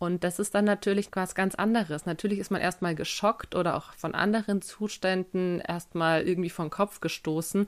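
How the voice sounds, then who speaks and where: With a normal speaking voice and medium pitch, a woman speaks at a moderate pace with fairly even intonation and hardly any pauses, recorded very cleanly against a silent background. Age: 20s. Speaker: podcast host. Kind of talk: solo podcast Q&A monologue. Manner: casual.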